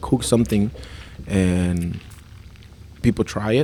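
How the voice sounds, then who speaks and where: The speaker has a Spanish accent. Pitch variation is ordinary. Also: man. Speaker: chef and restaurant owner. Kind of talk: casual chat.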